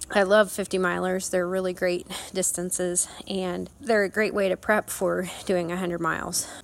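A woman's medium-pitched, fairly slow voice in a Midwestern US accent, with flat, monotone intonation. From Kansas. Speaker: endurance rider. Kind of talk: recorded personal advice.

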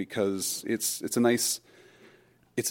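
In a very clean recording with a silent background, a man with a normal speaking voice talks at a moderate pace with fairly even intonation. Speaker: fellow podcaster. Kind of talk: recorded voice message.

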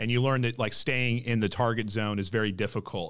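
A man talks at a fairly quick pace with fairly even intonation. It is an ordinary speaking voice. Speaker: podcast host. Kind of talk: interview.

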